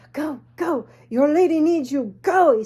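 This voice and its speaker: A fairly slow pace in a put-on character voice. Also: woman, high pitch for a woman. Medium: solo performance.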